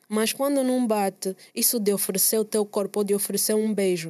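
A woman speaks with an Angolan accent at a moderate pace and a medium pitch. Her tone is dark and mellow, her intonation fairly even. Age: 20s. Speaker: musician. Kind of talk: casual chat. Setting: studio.

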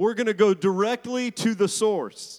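A man's high voice with an American accent and ordinary pitch variation, recorded dry and close with no echo. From Arizona. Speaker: pastor. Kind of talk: sermon. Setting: church.

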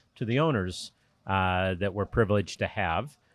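A man with an American accent speaks at a fairly low pitch. The sound is dry and close with no echo, on a very clean recording with a silent background. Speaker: boat company executive. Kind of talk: interview. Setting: boat show. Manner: hesitant, fillers.

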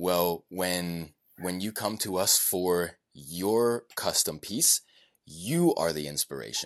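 Very slow delivery with ordinary pitch variation against a quiet background. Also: man, very deep, low pitch for a man. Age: 20s. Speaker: custom pen maker. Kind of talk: casual chat.

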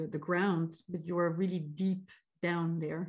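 A woman with a fairly low, somewhat breathy voice speaks at a moderate pace. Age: 30s. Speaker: CX consultant and career coach. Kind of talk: podcast interview. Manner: halting, many fillers.

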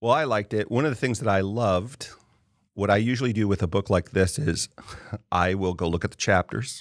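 A man with an American accent and a plain, everyday voice speaks at a fairly quick pace and fairly low pitch, with ordinary pitch variation and very even loudness, in a dry, close sound with no echo on a very clean recording with a silent background. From US, partly California. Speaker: podcast host. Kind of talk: casual interview conversation.

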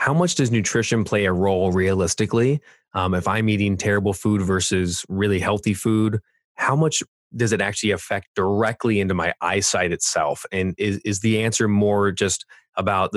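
A man with a Californian accent at a fairly quick pace, on a very clean recording with a silent background. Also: dry, close sound with no echo. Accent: Californian American. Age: 40s. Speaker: podcast host. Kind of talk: interview.

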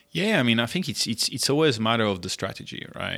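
The recording is very clean, with a silent background. A man talks at a fairly quick pace in a bright, sharp tone. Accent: French. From southern France (Monaco area). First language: French. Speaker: entrepreneur, food startup founder. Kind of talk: casual interview.

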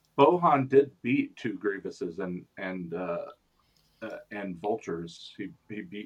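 A man speaks in a normal speaking voice, fairly low in pitch, at a fairly slow pace, with lively intonation and big swings in loudness. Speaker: podcast co-host.

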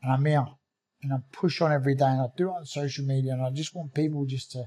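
A man with a South London accent, somewhat breathy, fairly high-pitched, with fairly even intonation at a moderate pace. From South London (Croydon), England. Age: 40s. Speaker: bare knuckle fighter and former pro boxer. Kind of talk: interview, personal life story.

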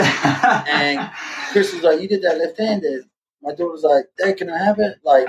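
This man speaks with an Australian accent and ordinary pitch variation. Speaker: artist and former drummer. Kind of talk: interview, personal story. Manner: casual, animated.

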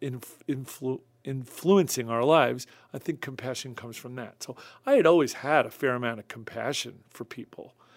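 A man with an American accent talks at a medium pitch and moderate pace in a plain, everyday voice. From Long Island, New York. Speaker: music producer. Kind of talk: casual interview. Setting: studio.

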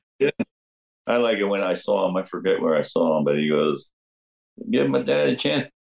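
With a New Jersey accent, a man talks at a fairly quick pace at very even loudness, but leaves long, frequent pauses. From New Jersey, Jersey Shore (Neptune). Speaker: rock drummer. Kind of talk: interview storytelling. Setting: video call.

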